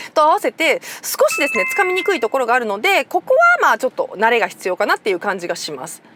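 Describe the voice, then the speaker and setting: Pitch swings very widely as the words come at a very fast pace. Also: woman. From Nara, Japan. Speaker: motoring journalist. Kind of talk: car review talk to camera.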